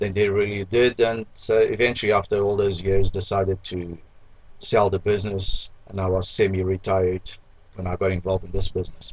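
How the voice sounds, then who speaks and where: A man speaks at a fairly quick pace in a fairly low, somewhat breathy voice. His intonation stays monotone and flat. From Mozambique. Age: 60s. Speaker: restaurant owner. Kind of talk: interview.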